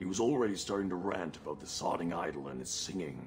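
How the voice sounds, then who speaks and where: Over clear music in the background, a put-on character voice speaks at a moderate pace. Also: man. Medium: video game. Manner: anxious, urgent.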